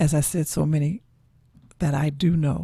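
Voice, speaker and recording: Somewhat breathy and dark, mellow in tone, a woman speaks in a very deep, low pitch. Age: 70s. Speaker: online talk show host. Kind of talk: reflective monologue.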